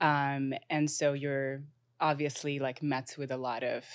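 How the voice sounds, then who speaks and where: Fairly slow speech on a very clean recording with a silent background. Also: woman. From Morocco. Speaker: entrepreneur and artist. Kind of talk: casual interview conversation.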